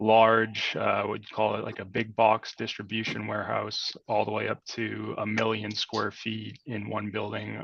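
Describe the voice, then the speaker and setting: A man with a fairly low pitch and vocal fry talks at a fairly slow pace in a slight Boston accent. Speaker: industrial real estate broker. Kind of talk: webinar presentation. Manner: many fillers (um, uh).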